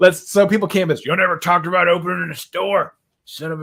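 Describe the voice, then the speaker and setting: Delivered at a fairly quick pace with an American accent, the voice has a bright, sharp tone and fairly even intonation. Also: man. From US South. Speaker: podcast host, guitar shop owner. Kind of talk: casual chat.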